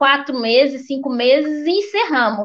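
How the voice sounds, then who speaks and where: A woman speaks at a moderate pace with a high pitch. The background is quiet. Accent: Minas Gerais. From Belo Horizonte, Minas Gerais, Brazil. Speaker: restaurant owner, immigrant entrepreneur. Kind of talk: interview. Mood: animated, expressive storytelling. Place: home room. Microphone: video call.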